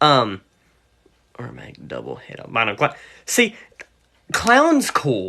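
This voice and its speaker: A man with a West Virginia accent, speaking at a very slow pace. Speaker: reptile seller and breeder. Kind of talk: livestream chat. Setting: livestream. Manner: rambling, casual.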